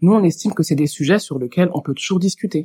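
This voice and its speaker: The voice is somewhat breathy with ordinary pitch variation, heard in a dry, close sound with no echo. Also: woman. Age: 30s. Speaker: HR worker and marriage-help volunteer. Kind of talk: casual chat. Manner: hesitant with fillers.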